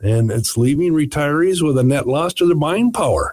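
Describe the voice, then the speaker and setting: A man speaks in a somewhat breathy voice, his pitch swinging very widely. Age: 60s. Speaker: financial radio show host. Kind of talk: casual radio chat about finance.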